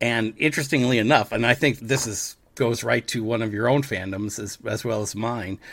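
This man has a normal speaking voice at a medium pitch. His pace is moderate, with fairly even intonation and hardly any pauses. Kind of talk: infomercial parody, scripted ad read.

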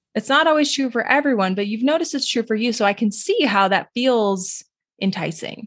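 In an American accent, a woman speaks at a fairly quick pace with lively intonation. Her voice is fairly high and somewhat breathy. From US Southwest, New Mexico. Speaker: registered dietitian. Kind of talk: interview.

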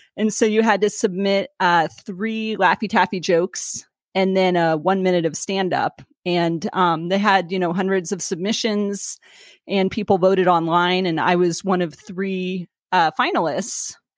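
In a plain, everyday voice of medium pitch, a woman speaks at a fairly slow pace with fairly even intonation, the sound dry and close with no echo. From Sacramento, California. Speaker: stand-up comedian. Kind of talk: casual interview. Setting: video call.

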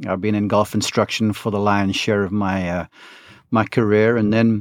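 The speaker has a South African accent and keeps a moderate pace. The recording is very clean with a silent background, and the sound is dry and close with no echo. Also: man. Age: 50s. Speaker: golf broadcaster and coach. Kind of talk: interview testimony.

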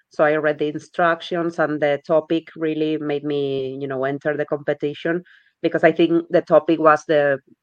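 A woman's very deep, low voice with a Spanish accent, moderate pace and monotone, flat intonation. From Spain. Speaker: language learner, competition winner. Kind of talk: interview. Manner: halting, repeats words.

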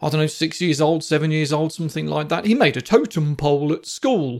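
This man speaks with a British accent at a fairly high pitch. The recording is very clean, with a silent background. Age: 40s. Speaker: psychotherapist podcast host. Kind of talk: solo podcast monologue. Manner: casual, conversational.

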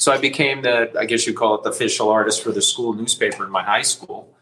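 With an American accent, a man talks at a fairly quick pace over noticeable background noise. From New Jersey (Westfield). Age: 60s. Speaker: artist. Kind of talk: interview.

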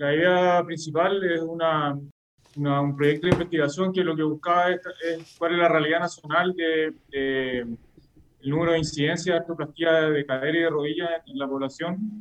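A man with a Chilean accent and a fairly high pitch talks at a moderate pace with fairly even intonation. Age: 30s. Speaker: orthopedic surgeon, researcher. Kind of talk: interview. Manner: halting, many fillers and repetitions.

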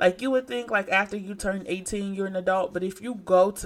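Her voice sits at a medium pitch and rises and falls in an ordinary way. She talks at a moderate pace. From Detroit, Michigan. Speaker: podcast host. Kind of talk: casual monologue.

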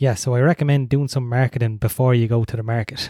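A man speaks at a fairly quick pace, with a medium pitch and a dark, mellow tone. The recording is very clean, with a silent background and a dry, close sound with no echo. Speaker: podcast host and microgreens farmer. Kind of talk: solo podcast monologue. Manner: casual, friendly.

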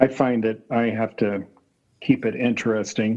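A man's ordinary speaking voice, fairly low in pitch, at a fairly slow pace. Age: 40s. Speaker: dentist. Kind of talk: casual group discussion.

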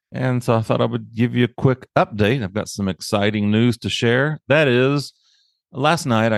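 Over a quiet background, a man with an unremarkable speaking voice talks at a moderate pace in a dry, close sound with no echo. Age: 60s. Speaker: podcast host. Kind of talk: casual monologue update. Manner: casual, upbeat.

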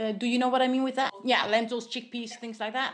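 A high-pitched woman with a Dutch accent and fairly even intonation. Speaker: nutritionist. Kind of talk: interview. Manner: halting, many fillers.

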